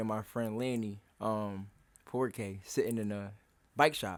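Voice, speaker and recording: A man's moderately paced speech, with ordinary pitch variation, is captured in a very clean recording with a silent background. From Philadelphia, US. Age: 20s. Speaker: bike rider. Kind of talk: interview.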